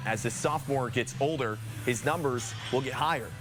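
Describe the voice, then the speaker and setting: With music in the background, a man speaks at a fairly quick pace and a medium pitch, showing ordinary pitch variation. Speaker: sports anchor and reporter. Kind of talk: TV news package voiceover.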